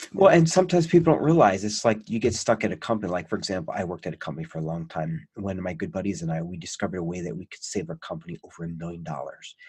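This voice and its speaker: A man talks at a very fast pace with hardly any pauses. His loudness swings widely. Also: very clean recording, silent background. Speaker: podcast host. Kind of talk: casual interview chat. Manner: animated.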